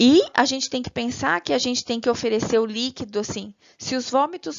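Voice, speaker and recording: Speaking in an unremarkable speaking voice, a woman uses a fairly high pitch, ordinary pitch variation and a moderate pace. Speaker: nursing teacher. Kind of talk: lecture.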